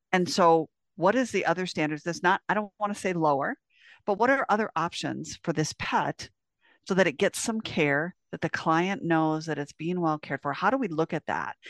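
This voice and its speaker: Over a quiet background with a dry, close sound and no echo, a woman uses an ordinary speaking voice, fairly low in pitch, with lively intonation at a moderate pace. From US Midwest (South Dakota). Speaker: veterinary technician and educator. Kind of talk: interview.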